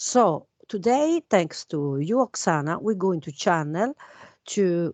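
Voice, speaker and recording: Speaking very slowly with a non-native accent, a woman at medium pitch makes very wide pitch swings. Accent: foreign. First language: not English. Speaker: guest speaker on alien conspiracy topics. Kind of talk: casual chat. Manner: hesitant, many fillers.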